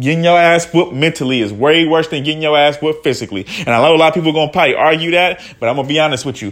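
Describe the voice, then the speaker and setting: A man speaks in a high-pitched voice. His tone is animated. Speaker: podcast host. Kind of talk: casual monologue. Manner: halting.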